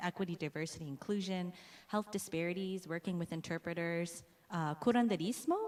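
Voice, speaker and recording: With an American accent, a woman talks at a moderate pace in a normal speaking voice. Her fairly low pitch follows fairly even intonation. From US, Hmong American community. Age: young. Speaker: pharmacy professor. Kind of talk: conference presentation. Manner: frequent fillers, uh and um.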